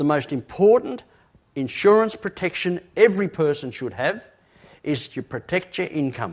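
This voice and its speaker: A high-pitched man's voice with very wide pitch swings at a moderate pace, on a very clean recording with a silent background. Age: 60s. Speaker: motivational speaker. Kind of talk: motivational talk. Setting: stage with audience. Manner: emphatic.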